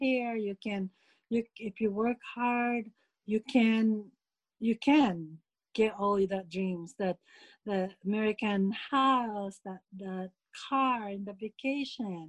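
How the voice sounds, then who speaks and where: Somewhat breathy and fairly high in pitch, a woman talks at a very slow pace with ordinary pitch variation in a dry, close sound with no echo. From Philippines. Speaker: immigrant interviewee. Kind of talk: interview recollection. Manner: laughs often.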